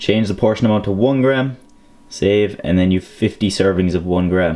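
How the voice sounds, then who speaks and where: A man with an Irish accent and a dark, mellow tone. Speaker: fitness vlogger. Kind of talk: tutorial. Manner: fast.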